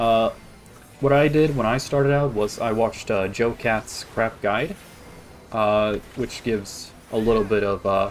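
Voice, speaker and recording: Against noticeable background noise, a man with an American accent talks at a medium pitch with ordinary pitch variation. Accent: practiced American-sounding English. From Sweden. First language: Swedish. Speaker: video game streamer. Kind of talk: casual gameplay commentary. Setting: live stream. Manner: hesitant, many fillers and restarts.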